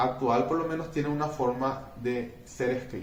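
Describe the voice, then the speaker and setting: Noticeable noise fills the background. The delivery is fairly slow. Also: man. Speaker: teacher. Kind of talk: lecture. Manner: halting.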